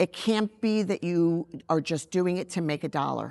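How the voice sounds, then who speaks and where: A woman uses an ordinary speaking voice at a fairly low pitch with fairly even intonation. The sound is dry and close with no echo, over a quiet background. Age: 60s. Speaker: makeup artist and beauty brand founder. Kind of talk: interview.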